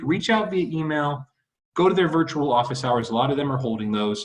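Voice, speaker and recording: Somewhat breathy, a man races along at a very fast pace with very wide pitch swings. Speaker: university academic advisor. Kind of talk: informational video talk to students. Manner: casual, conversational.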